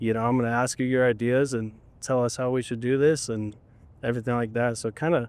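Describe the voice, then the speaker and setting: A man talks very fast in a monotone, flat intonation. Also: medium pitch for a man. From Colorado. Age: 20s. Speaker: lineman crew foreman. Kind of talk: interview conversation. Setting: outdoors on job site. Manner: casual.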